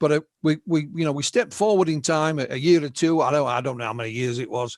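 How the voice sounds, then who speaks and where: A man talks very fast at a fairly high pitch, his pitch varying an ordinary amount. The recording is very clean with a silent background and a dry, close sound with no echo. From northern England. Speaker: UFO researcher and writer. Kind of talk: interview storytelling. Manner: halting, repeats words.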